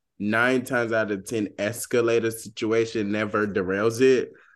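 An ordinary speaking voice with an American accent moves at a moderate pace. The background is quiet. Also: man. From US South, Georgia. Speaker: podcast co-host. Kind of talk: casual chat.

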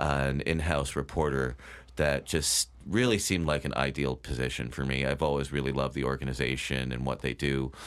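A man with an American accent and vocal fry. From Connecticut (Bethel). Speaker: writer, former newspaper reporter. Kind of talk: interview.

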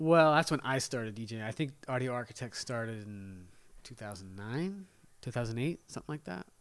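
A man's normal speaking voice at a medium pitch, with lively intonation, a moderate pace, and big swings in loudness. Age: 40s. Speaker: DJ. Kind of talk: casual chat. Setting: kitchen table at home.

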